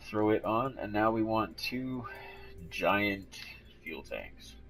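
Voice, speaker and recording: A man's voice with music in the background. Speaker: gaming tutorial youtuber. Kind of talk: game tutorial voiceover. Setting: recorded voiceover. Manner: casual, hesitant with many ums. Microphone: cheap mic, viewers complained.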